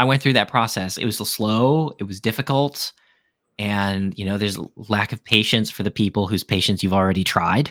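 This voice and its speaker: A man with an American accent uses an ordinary speaking voice at a fairly low pitch and a fairly quick pace, with ordinary pitch variation. The recording is very clean with a silent background, dry and close with no echo. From US Midwest, Chicago suburbs and Wisconsin. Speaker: podcast guest sharing life story. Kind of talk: casual chat.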